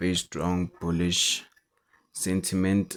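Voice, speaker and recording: A man with a non-native accent, a very deep, low pitch, monotone, flat intonation and a fairly slow pace. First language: not English. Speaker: forex trader. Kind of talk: market analysis tutorial. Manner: halting.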